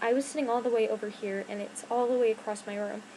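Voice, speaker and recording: A woman talks at a fairly quick pace and a fairly high pitch. Noticeable background noise runs behind her. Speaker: YouTuber. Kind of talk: casual chat. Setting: home bedroom. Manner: rambling, hesitant with fillers.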